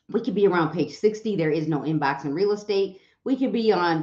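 A woman speaks at a moderate pace with ordinary pitch variation, and the room echo is audible. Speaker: livestream host, real estate coach. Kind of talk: casual livestream chat. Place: home room.

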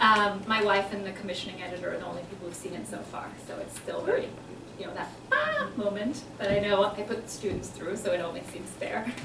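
A woman talks at a fairly quick pace with big swings in loudness, over noticeable background noise. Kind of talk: casual remarks before a reading. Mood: warm, laughing. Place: hall. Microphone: podium.

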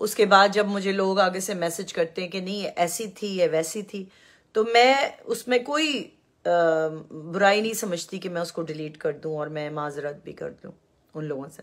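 The recording is very clean, with a silent background. It carries a normal speaking voice with ordinary pitch variation. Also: woman, medium pitch for a woman. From Pakistan. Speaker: YouTube commentator. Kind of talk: live-stream monologue. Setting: live stream.

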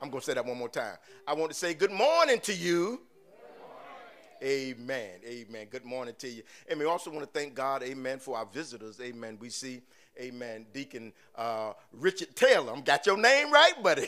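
A man speaks at a moderate pace with lively intonation and a bright, sharp tone. His pitch is medium, and his loudness swings widely. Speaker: pastor. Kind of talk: sermon. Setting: church.

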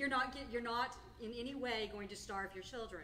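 Over light background noise, a woman keeps a moderate pace and fairly even intonation. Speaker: clinic representative and meeting moderator; meeting moderator. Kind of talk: moderating a live support group meeting. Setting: hotel meeting room with live audience. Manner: loud. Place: meeting room. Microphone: camera far.

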